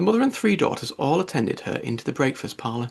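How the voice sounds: Speaking fast, a man swings widely in pitch around a medium level. His voice has a slightly husky edge and vocal fry.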